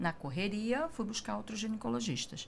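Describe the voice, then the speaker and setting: Somewhat breathy and fairly high-pitched, a woman with a Rio de Janeiro accent speaks with very wide pitch swings. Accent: carioca. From Rio de Janeiro, Brazil. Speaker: breast cancer survivor, patient. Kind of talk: testimony in interview.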